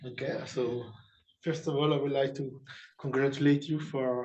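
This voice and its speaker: A man with a non-native accent speaks in a monotone, flat way at a fairly slow pace. Audible room echo surrounds his voice. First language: not English. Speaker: jury member at thesis defense. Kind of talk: academic Q&A. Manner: halting, many hesitations.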